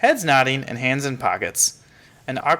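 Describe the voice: The voice is plain reading aloud, its intonation fairly even.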